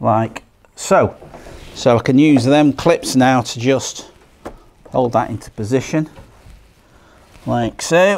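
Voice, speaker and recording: A man in a strong Lancashire accent at medium pitch, very slow, with ordinary pitch variation and long, frequent pauses. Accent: broad Lancashire. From Lancashire, northern England. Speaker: boat restorer. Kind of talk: tutorial. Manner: casual.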